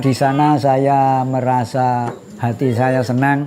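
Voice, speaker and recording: At a very slow pace, a man speaks with a fairly high pitch and fairly even intonation, against noticeable background noise. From Gunung Kidul, Yogyakarta, Java. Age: 70s. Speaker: elderly villager. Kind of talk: interview testimony.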